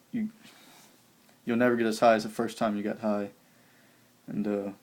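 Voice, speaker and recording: A man with an American accent talks at a moderate pace and medium pitch, his intonation monotone and flat. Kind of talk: testimony. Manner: halting.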